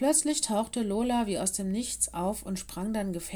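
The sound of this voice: An unforced reading voice, its pitch rising and falling in the usual way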